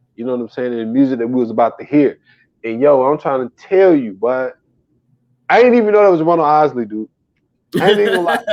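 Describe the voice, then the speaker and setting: Very wide pitch swings mark a man's fairly high voice. He talks at a very fast pace, with long, frequent pauses. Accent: American. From US South. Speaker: podcast co-host. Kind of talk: casual chat. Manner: animated.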